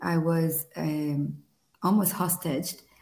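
The room echo is audible as a woman speaks. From Israel. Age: 40s. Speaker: power coach. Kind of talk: interview.

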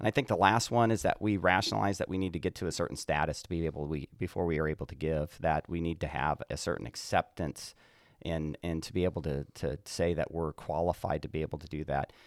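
A man with a very deep, low voice talks very fast with ordinary pitch variation, recorded very cleanly against a silent background with a dry, close sound and no echo. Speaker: pastor. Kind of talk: casual chat.

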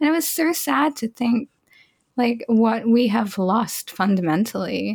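This woman's fairly high voice is somewhat breathy, with lively intonation and a fairly slow pace. Her loudness stays very even, and the sound is dry and close with no echo. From Australia. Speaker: podcast co-host and game developer. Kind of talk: casual chat.

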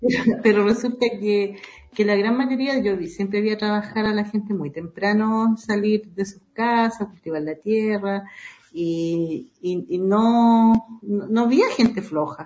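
Fairly high-pitched for a woman, her dark, mellow voice is somewhat breathy, moving at a fairly slow pace with ordinary pitch variation. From southern Chile, Panguipulli, Valdivia. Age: 60s. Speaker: Mapuche women's network coordinator. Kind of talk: interview. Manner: halting, frequent repetitions.

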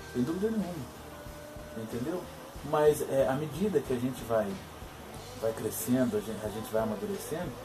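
With music playing behind him, a man of medium pitch speaks at a moderate pace with lively intonation. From Minas Gerais interior, Brazil. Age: 20s. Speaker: philosopher vlogger. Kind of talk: video monologue. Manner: halting, many fillers.

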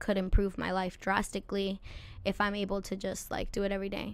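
A woman with an American accent talks at a medium pitch with monotone, flat intonation. The recording is very clean, with a silent background. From California, Santa Maria area. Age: 20s. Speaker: musician. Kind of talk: casual chat.

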